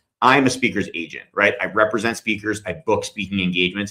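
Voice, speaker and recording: With lively intonation, a man rattles along at a very fast pace. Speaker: speakers' agent and company CEO. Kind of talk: live-streamed talk with audience Q&A.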